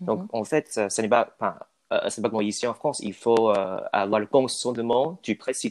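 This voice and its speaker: Lively intonation marks this man's speech, recorded dry and close with no echo against a quiet background. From Taiwan. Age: young. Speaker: student, aspiring French teacher. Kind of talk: interview. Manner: halting.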